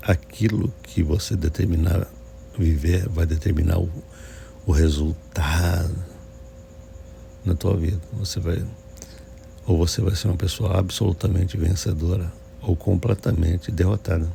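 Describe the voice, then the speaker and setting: A soft-spoken man talks at a fairly slow pace with a very deep, low pitch, ordinary pitch variation and very even loudness. Long, frequent pauses break up his speech, and there is noticeable background noise. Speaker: pastor. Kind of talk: sermon. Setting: early morning at home.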